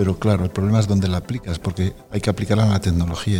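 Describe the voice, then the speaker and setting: Over noticeable background noise, a man talks very fast in a very deep, low pitch. His intonation is monotone and flat. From Spain, Aragon (Zaragoza province). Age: 60s. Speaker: supercomputing centre director. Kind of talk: interview conversation.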